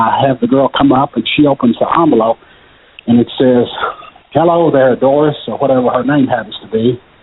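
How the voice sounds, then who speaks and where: With a Kentucky accent, a man talks at a fairly quick pace in a medium pitch and fairly even intonation over noticeable background noise. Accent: Kentucky Southern US. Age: 60s. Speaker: magician. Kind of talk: casual interview. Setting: phone call.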